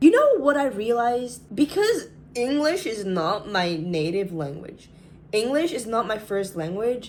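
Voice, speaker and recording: A woman with a British accent talks at a fairly slow pace. Her high voice moves through very wide pitch swings. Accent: British-tinged. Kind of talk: non-native English speaker.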